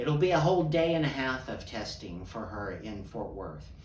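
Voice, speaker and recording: A man talks fairly slowly amid audible room echo and noticeable background noise. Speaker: podcast host. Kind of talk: casual monologue.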